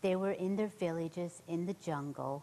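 Her pitch is fairly low and her tone dark and mellow. This woman speaks at a fairly slow pace with lively intonation. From central Ireland. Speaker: nurse, missionary; interview guest. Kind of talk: interview, personal testimony. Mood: earnest testimony. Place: studio.

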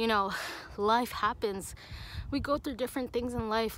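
A woman with ordinary pitch variation, dry sound with no echo and light background noise. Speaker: fitness vlogger. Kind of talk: casual vlog chat. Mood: earnest, encouraging. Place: open country. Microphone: phone near.

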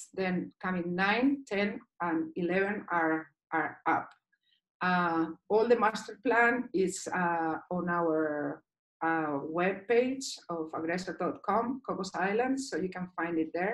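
Against a quiet background, a woman speaks at a very slow pace in a Basque accent. Her medium-pitched voice has lively intonation. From Basque Country, Spain. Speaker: dive instructor and liveaboard cruise director. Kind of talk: online presentation. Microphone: video call.

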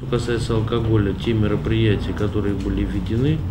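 A man's voice over noticeable background noise. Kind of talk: press conference statement. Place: shop. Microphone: podium.

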